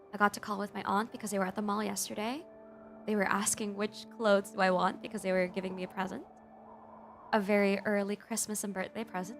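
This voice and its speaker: With music in the background, the speaker goes at a very fast pace in a monotone, flat intonation. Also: woman, medium pitch for a woman. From Philippines. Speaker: VTuber and digital artist. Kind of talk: casual talk to camera, ASMR stream.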